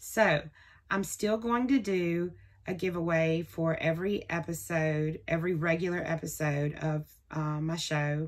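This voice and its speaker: A woman with a Southern US accent speaks at a fairly slow pace in a fairly low voice with ordinary pitch variation, in a very clean recording against a silent background. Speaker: crafting vlogger. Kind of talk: casual vlog talk. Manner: chatty.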